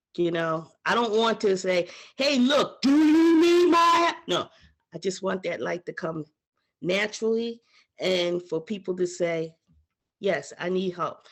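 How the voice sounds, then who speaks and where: The speaker's tone is animated, with very wide pitch swings. The delivery runs at a fairly slow pace. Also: woman, medium pitch for a woman. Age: 60s. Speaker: panel guest sharing health story. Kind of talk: casual group video chat, testimony.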